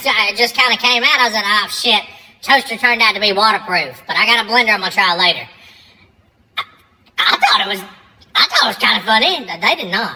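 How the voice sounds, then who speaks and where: Using a put-on character voice, a woman speaks very fast at a fairly high pitch with ordinary pitch variation, broken by long, frequent pauses. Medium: comedy sketch. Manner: sarcastic, wisecracking.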